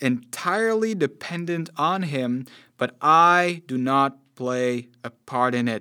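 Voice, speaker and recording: A man speaks in a Dutch accent with lively intonation and a bright, sharp tone. The recording is very clean, with a silent background. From Netherlands. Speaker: preacher. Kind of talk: sermon.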